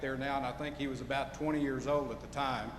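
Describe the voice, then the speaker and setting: A male voice in an American accent, with some room reverberation and clear noise behind it. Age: 60s. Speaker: lawyer.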